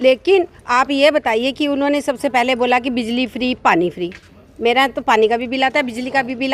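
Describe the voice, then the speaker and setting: Here a woman speaks in a high pitch. Her pace is moderate and her pitch variation ordinary. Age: 60s. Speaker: housing society secretary, member of the public. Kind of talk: street interview.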